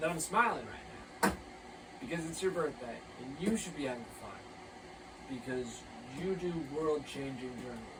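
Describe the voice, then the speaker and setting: With an American accent and lively intonation, a man with a fairly high pitch talks at a moderate pace, with long, frequent pauses and big swings in loudness, amid noticeable background noise and audible room echo. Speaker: vlogger doing a mock press conference. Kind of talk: mock press conference monologue. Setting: filming to camera. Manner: casual, halting with fillers.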